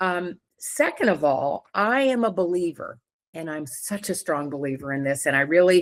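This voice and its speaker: The speaker has an unremarkable speaking voice at a moderate pace. The intonation is lively. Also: woman. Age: 60s. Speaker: professor and podcast guest. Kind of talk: casual interview chat.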